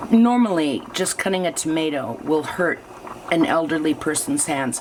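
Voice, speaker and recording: A woman's fairly low-pitched voice with lively intonation and a moderate pace, over noticeable background noise. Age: 60s. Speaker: artist and video diarist. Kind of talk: casual chat. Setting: kitchen.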